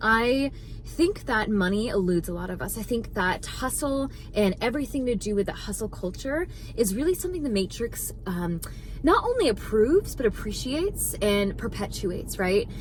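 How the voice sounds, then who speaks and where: A woman speaks in an animated tone at a fairly high pitch, with very wide pitch swings. Noticeable background noise can be heard. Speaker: spiritual manifestation content creator. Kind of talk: motivational talk to camera. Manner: fast.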